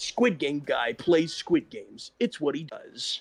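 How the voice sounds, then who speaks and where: A put-on character voice moves at a fairly slow pace with big swings in loudness, the sound dry and close with no echo. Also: man, high pitch for a man. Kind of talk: announcer voice. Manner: upbeat advertising delivery.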